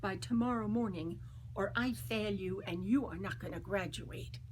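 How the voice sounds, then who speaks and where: Fairly slow female speech with audible room echo. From US Northeast, Long Island, New York. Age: 80s+. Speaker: oral history interviewee, trained singer. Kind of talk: oral history testimony.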